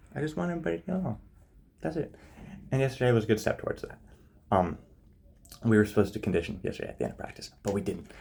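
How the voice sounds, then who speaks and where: This man's voice sits at a fairly low pitch, dark and mellow and somewhat breathy, with very wide pitch swings. He talks very fast but leaves long, frequent pauses. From Canada, small town. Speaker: vlogger. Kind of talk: video diary. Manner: casual, halting.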